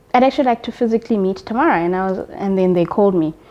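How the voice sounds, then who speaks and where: Speaking at a very fast pace, a woman uses a medium pitch with ordinary pitch variation. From South Africa, Eastern Cape. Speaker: accountant. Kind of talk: interview.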